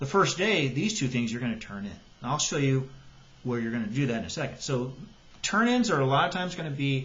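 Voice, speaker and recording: A man with lively intonation at a very fast pace. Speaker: high school biology teacher. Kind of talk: tutorial. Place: home room. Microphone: webcam.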